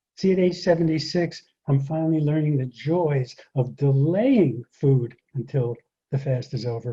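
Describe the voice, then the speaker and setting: A man's dark, mellow, somewhat breathy voice at a moderate pace, with ordinary pitch variation. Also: quiet background. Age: 70s. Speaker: speaker and public speaking coach; speaker, public speaking coach. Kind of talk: talk to an audience. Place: garden. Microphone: webcam.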